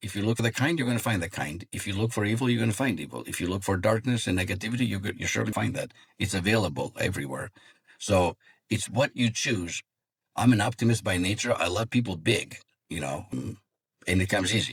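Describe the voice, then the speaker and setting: Very fast speech from a man with a Greek accent, fairly low pitch, vocal fry and lively intonation. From Greece. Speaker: psychologist and executive coach. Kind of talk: interview.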